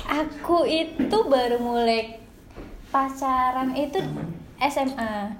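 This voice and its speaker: A woman speaks very slowly in a high voice with ordinary pitch variation. Audible room echo and noticeable background noise surround her. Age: 20s. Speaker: podcast co-host, office worker. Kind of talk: casual chat.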